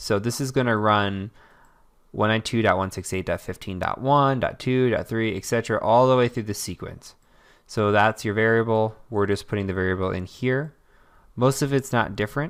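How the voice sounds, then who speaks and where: In a plain, everyday voice of medium pitch, a man talks at a fairly quick pace with ordinary pitch variation on a very clean recording with a silent background. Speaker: cybersecurity instructor. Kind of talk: screen-recorded tutorial.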